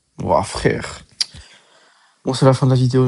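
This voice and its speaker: A man is talking. He speaks at a fairly slow pace. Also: dry, close sound with no echo. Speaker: gaming YouTuber. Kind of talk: gameplay commentary.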